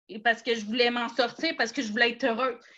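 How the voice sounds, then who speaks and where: A woman's high-pitched voice in a Quebec accent, bright and sharp in tone, with ordinary pitch variation. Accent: Québécois French. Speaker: network marketing seller. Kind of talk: personal testimony in a live talk.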